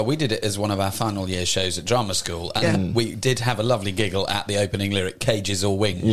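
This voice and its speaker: Over noticeable background noise, a man talks at a very fast pace with fairly even intonation and a fairly low pitch. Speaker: musical theatre actor, radio interview guest. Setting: radio studio.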